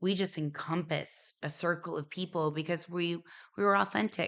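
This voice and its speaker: A woman with an American accent and an unremarkable speaking voice, fairly low in pitch, with fairly even intonation. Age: 40s. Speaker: hairdresser. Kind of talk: casual chat.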